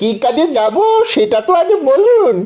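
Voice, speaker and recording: This is a cartoonish character voice pitched high. Its pitch swings very widely. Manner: sarcastic, grudging.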